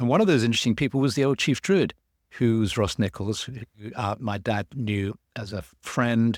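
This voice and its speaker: The man speaks at a moderate pace and medium pitch, with ordinary pitch variation. His voice is recorded dry and close with no echo, very clean, with a silent background. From London, England. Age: 70s. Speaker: author and druid teacher. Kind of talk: interview conversation. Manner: halting, many fillers and repetitions.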